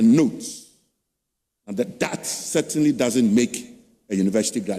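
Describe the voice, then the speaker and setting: With very wide pitch swings and vocal fry, a man speaks in a dark, mellow tone. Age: 70s. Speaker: professor. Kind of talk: public lecture.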